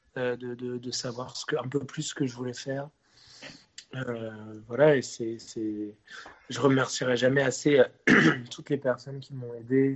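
A man of medium pitch speaks at a fairly slow pace in a flat monotone, with big swings in loudness and long, frequent pauses. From Brittany, France (Rennes). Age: 20s. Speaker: singer and musician. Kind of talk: interview. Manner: hesitant, many repeated words.

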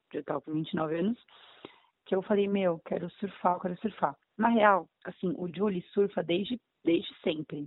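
Speaking at a fairly slow pace, the woman has a fairly low pitch and ordinary pitch variation. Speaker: aspiring actress. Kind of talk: casual chat.

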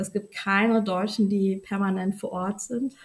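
A woman speaks at a moderate pace with a medium pitch. Her voice is somewhat breathy, with monotone, flat intonation. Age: 30s. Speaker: journalist. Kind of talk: interview. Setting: podcast recording.

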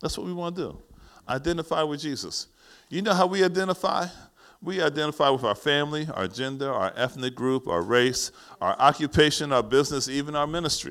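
A man speaks with an American accent at a fairly high pitch. His pace is fairly quick and his intonation lively. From US Northeast, East Orange, New Jersey. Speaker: pastor. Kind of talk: sermon. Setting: church. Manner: animated.

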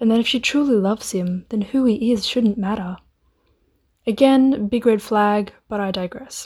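A woman's somewhat breathy, medium-pitched voice at a moderate pace, fairly even in intonation, in a very clean recording with a silent background. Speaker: student editor retelling a myth. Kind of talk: scripted fairy-tale myth narration with wry modern asides. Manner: storyteller's flow, playful and dryly humorous, with sarcastic quips; chatty, casual and laughing, modern slang.

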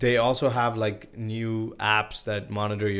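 A man with a Sri Lankan accent, fairly low in pitch, with monotone, flat intonation. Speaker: insurance broker. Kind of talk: casual podcast interview.

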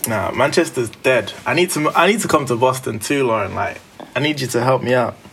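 Noticeable background noise sits behind a man with a British accent. His pitch is medium, with ordinary variation. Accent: British urban.

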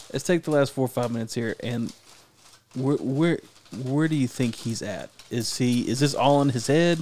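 Here is a man with a normal speaking voice at medium pitch and a moderate pace. His pitch variation is ordinary. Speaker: podcast co-host. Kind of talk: casual chat.

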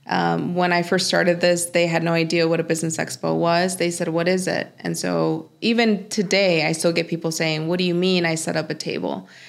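The woman's pitch sits fairly low and her intonation is monotone and flat. She talks at a fairly quick pace with hardly any pauses. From Mexico. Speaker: bilingual translator and business owner. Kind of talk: casual interview.

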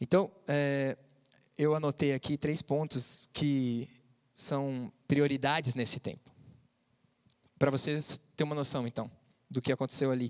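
A man with a fairly high pitch speaks at a fairly slow pace, with fairly even intonation. Long, frequent pauses break up his speech. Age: 30s. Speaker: youth preacher. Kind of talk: sermon; casual testimony. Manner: casual, halting.

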